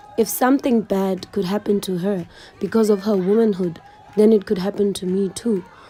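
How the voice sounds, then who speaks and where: Against noticeable background noise, a woman speaks at a medium pitch and a moderate pace with fairly even intonation. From South Africa, Eastern Cape (Mthatha). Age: 20s. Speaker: YouTuber. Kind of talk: scripted narration.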